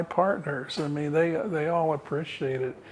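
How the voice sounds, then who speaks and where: A man talks fairly slowly at a fairly high pitch while noticeable background noise carries on. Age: 70s. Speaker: architect. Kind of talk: interview. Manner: halting, with many fillers and repeated words.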